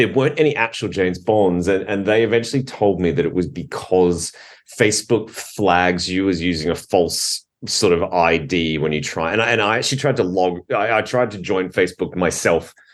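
The speaker has an Australian accent and keeps a moderate pace. Pitch variation is ordinary. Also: man, very deep, low pitch for a man. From Australia, Adelaide. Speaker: documentary film director. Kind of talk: interview. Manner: halting.

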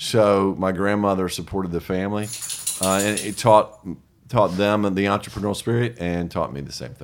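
A fairly low-pitched man with a Southern US accent at a moderate pace, fairly even intonation and big swings in loudness. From US South. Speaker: small press co-founder and author. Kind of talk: casual interview chat.

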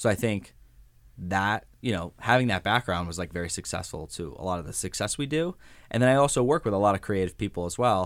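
A man's voice shows ordinary pitch variation on a very clean recording with a silent background. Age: 20s. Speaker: university social media manager. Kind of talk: interview. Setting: studio.

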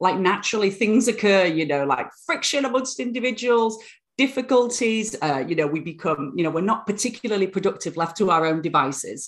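In a British accent, a woman talks at a fairly quick pace. Her medium pitch swings very widely. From northern England, Bradford. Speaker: university lecturer and author. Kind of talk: podcast interview.

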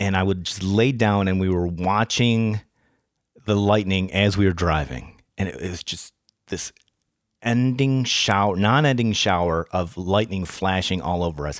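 The recording is very clean with a silent background. A man speaks in a very deep, low voice at a fairly slow pace. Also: ordinary pitch variation. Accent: American. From Rochester, New York. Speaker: podcast co-host and researcher. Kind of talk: casual chat. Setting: studio.

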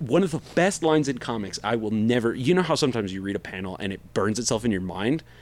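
At a fairly quick pace, a man speaks in a plain, everyday voice with ordinary pitch variation. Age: 40s. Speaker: podcast co-host. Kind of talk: casual chat.

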